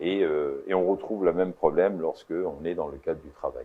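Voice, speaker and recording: The pace is moderate. The speaker is a man. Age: 60s. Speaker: entrepreneur and mediator. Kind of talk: interview. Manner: hesitant, many fillers.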